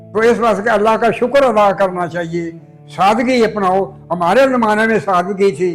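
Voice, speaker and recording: Music plays in the background as a man speaks. His pitch is high, with ordinary variation. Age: 80s+. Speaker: freedom movement activist. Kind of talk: interview answer.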